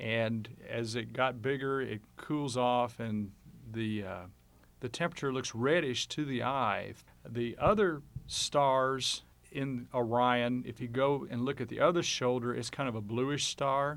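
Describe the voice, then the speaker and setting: A man's plain, everyday voice at medium pitch, fairly slow, with ordinary pitch variation. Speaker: amateur astronomer. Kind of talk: radio interview. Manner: casual.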